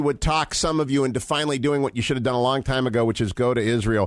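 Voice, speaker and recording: A man speaks at a very fast pace, his medium pitch showing ordinary variation. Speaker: radio show host. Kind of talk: radio talk show host interview. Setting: radio studio.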